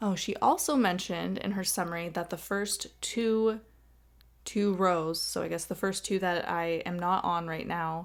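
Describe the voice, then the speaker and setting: In a plain, everyday voice, a woman speaks at a moderate pace with a fairly low pitch and fairly even intonation. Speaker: gaming YouTuber. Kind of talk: casual video game tour narration. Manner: chatty, self-correcting.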